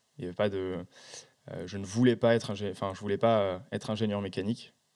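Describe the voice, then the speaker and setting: Talking at a very fast pace, a man keeps his intonation fairly even at a fairly low pitch. The recording is very clean, with a silent background. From France, countryside near Besançon. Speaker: startup co-founder. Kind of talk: interview. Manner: hesitant, many fillers.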